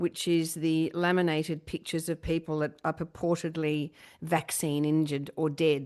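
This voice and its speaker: A woman's very deep, low voice, monotone and flat, at a moderate pace and very even loudness against a quiet background. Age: middle-aged. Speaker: podcast host. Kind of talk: casual chat.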